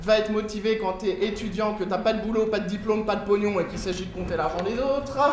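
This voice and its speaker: A man with a high pitch speaks very fast, with hardly any pauses and fairly even intonation. Noticeable background noise and audible room echo fill the recording. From France, Lyon. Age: 20s. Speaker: comedian. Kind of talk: stand-up. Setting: stage with audience.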